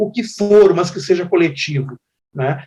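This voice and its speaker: A high-pitched man at a fairly slow pace. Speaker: singer-songwriter. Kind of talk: interview.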